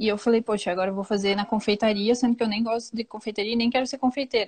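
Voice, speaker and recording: Somewhat breathy and fairly high-pitched, a woman with a southern Brazilian accent speaks with fairly even intonation. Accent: gaúcho (southern Brazilian). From Rio Grande do Sul, southern Brazil. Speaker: pastry chef. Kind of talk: casual interview chat.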